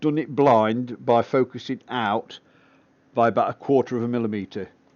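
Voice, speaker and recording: The speaker has an English accent and keeps a moderate pace. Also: man. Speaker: amateur astronomer livestreaming telescope session. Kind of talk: live stream commentary, casual tutorial. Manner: relaxed, with frequent fillers.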